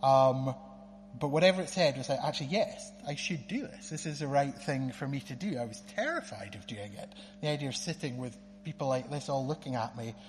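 A man with a northeast Scottish accent speaks at a fairly high pitch and a fairly quick pace. His intonation is lively, with big swings in loudness. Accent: Scottish (north-east). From Scotland, Aberdeen. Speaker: lawyer. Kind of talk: testimony. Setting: church.

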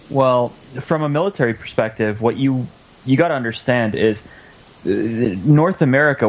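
Talking at a fairly quick pace, a man has a plain, everyday voice and ordinary pitch variation. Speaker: radio co-host. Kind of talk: casual banter, talk radio.

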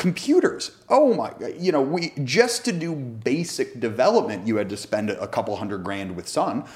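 A man's voice shows vocal fry and very wide pitch swings. He leaves hardly any pauses. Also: moderate pace. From US, Northern California (Bay Area). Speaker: tech startup founder. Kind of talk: interview.

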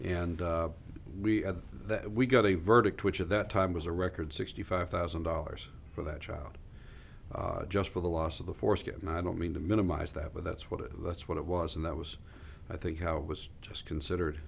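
A man speaks at a fairly quick pace in a very deep, low voice. It is somewhat breathy, with ordinary pitch variation. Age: 60s. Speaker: trial lawyer. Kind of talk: interview.

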